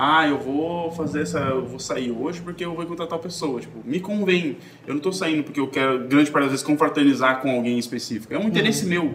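Ordinary pitch variation in very fast talk, with audible room echo and noticeable background noise. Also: man, fairly high pitch for a man, hardly any pauses. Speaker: podcast host. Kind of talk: casual chat.

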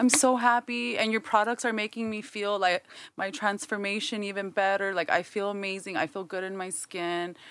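A woman speaks at a moderate pace with ordinary pitch variation and a normal speaking voice. The recording is very clean, with a silent background. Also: medium pitch for a woman. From US, Mexican-American family. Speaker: soap and candle entrepreneur. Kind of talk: casual chat.

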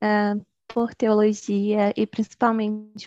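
A woman's fairly high, monotone, flat voice, dry and close with no echo, against a quiet background. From Bahia, Brazil. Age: 20s. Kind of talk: casual interview.

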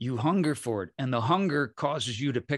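In a dry, close sound with no echo and a quiet background, a man uses a normal speaking voice with lively intonation. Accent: American. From US Midwest. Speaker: shamanic healer. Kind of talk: casual chat.

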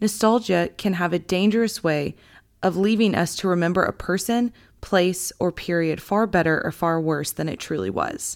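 On a very clean recording with a silent background, a woman with an American accent speaks at a moderate pace and medium pitch, with ordinary pitch variation. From Texas, small town north of Dallas. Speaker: author. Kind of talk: reading aloud.

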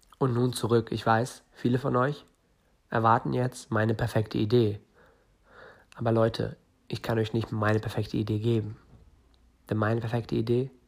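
The voice is somewhat breathy, flat and monotone, at a moderate pace. The recording is very clean, with a silent background. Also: man, long, frequent pauses. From northern Germany. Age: 20s. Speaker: entrepreneur podcaster. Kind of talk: solo podcast monologue.

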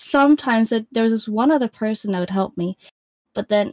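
A woman speaks with fairly high pitch and a somewhat breathy voice. The sound is dry and close, with no echo. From UK. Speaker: streamer. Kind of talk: casual chat.

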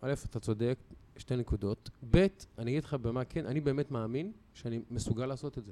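With a dark, mellow tone, a man speaks at a medium pitch and a fairly quick pace, using ordinary pitch variation. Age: 40s. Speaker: sports commentator and podcast host. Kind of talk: casual chat.

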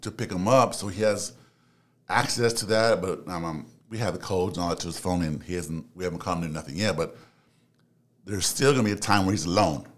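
This man talks at a very fast pace in an American accent. His pitch is very deep and low, with ordinary variation. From Los Angeles, US. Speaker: psychology student and relationship podcaster. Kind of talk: casual interview.

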